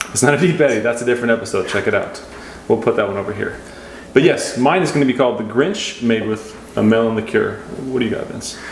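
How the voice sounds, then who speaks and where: With audible room echo and noticeable background noise, a man talks very fast at medium pitch with ordinary pitch variation. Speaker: cocktail show co-host. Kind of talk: casual cocktail tutorial. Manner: casual, jokey.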